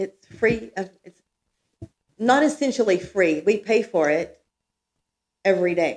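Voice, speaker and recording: Speaking at a fairly slow pace with long, frequent pauses, a woman uses medium pitch and lively intonation, with big swings in loudness. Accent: Texan. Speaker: resident speaking at town hall. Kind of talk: public comment at town meeting. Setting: town hall meeting room.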